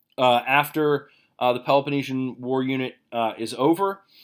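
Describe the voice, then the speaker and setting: A man at medium pitch and a fairly slow pace, on a very clean recording with a silent background. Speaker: high school history teacher. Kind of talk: recorded presentation to parents. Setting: recorded video for virtual back to school night. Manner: hesitant, many filler words.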